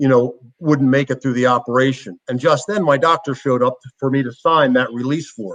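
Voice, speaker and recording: A man with an American accent has an unremarkable speaking voice at a medium pitch. He talks at a fairly quick pace with ordinary pitch variation and hardly any pauses. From Philadelphia, US. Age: 60s. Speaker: former football player and motivational speaker. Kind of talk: interview. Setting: at home.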